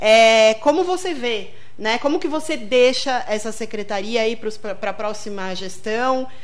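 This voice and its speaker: With audible room echo, a woman speaks at a fairly slow pace, her fairly high voice carrying lively intonation. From Rio Grande do Sul, Brazil. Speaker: radio host. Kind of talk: radio interview. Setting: radio studio.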